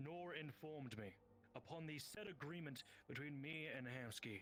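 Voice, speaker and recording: Putting on a character voice, a man speaks at a fairly high pitch. His pace is moderate, with clear background noise. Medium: game stream. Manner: formal, measured.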